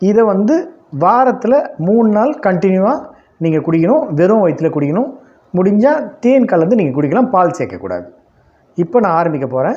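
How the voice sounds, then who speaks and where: A man's high-pitched voice has a dark, mellow tone and swings very widely in pitch. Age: 60s. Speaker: yoga teacher. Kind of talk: tutorial. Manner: casual, repetitive.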